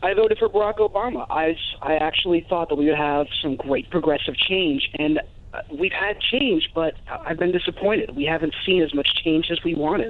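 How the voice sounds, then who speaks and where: Fairly quick speech with hardly any pauses over noticeable background noise. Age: 20s. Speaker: caller, student. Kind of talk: call-in comment. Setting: phone call.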